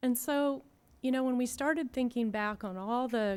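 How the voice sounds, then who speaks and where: The speech comes at a moderate pace in a very clean recording with a silent background. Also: woman. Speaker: design consultant. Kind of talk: public presentation. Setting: public board meeting with microphone.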